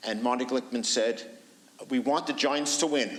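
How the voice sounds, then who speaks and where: A man with a New York accent talks at a fairly high pitch. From New York City. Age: 70s. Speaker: author and historian. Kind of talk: book talk interview.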